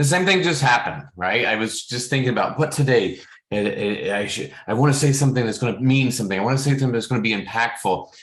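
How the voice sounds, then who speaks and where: A man's medium-pitched voice at a very fast pace, hardly any pauses, ordinary pitch variation and audible room echo. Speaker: fitness trainer and coach. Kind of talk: personal monologue. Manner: halting, many repetitions.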